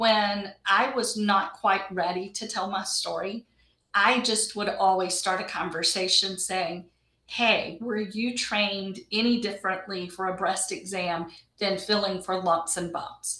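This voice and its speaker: At a fairly slow pace, a woman with medium pitch speaks in a normal speaking voice. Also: fairly even intonation. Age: 60s. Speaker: patient advocate. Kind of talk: interview. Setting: video call.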